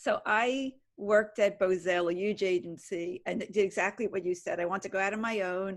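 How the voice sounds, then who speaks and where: At a moderate pace and with hardly any pauses, a woman of medium pitch speaks in an ordinary speaking voice. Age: 60s. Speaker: audience member, agency owner. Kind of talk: question from audience.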